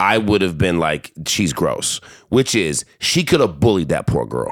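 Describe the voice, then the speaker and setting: A man's animated voice with vocal fry and very wide pitch swings. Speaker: podcast host. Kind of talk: casual banter podcast. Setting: home recording, drinking. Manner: animated, joking, talks over partner.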